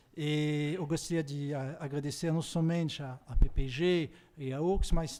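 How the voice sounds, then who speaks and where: A man speaks at a fairly slow pace with a French accent. His pitch is fairly high. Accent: French accent in Portuguese, non-native. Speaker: political science professor, keynote speaker. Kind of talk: conference keynote lecture. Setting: university conference with audience. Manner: halting, self-correcting.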